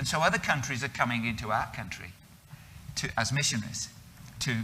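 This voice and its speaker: Speaking at a fairly quick pace, a man with a British accent keeps a medium pitch and ordinary pitch variation. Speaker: missionary. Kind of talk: interview.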